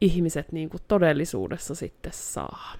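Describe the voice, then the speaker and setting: A woman with an unremarkable speaking voice talks at a fairly slow pace. Her pitch sits fairly low. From North Karelia, Finland (Joensuu). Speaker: therapist. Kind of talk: casual chat.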